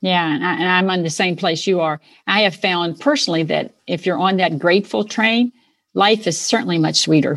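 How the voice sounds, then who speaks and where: A woman with a plain, everyday voice speaks at a moderate pace, fairly low in pitch with ordinary pitch variation, over a quiet background. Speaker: podcast host. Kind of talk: interview, polished host intro.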